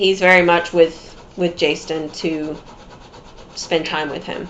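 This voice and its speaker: This woman speaks at a very slow pace. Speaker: psychic medium. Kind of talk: mediumship reading. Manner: giggly.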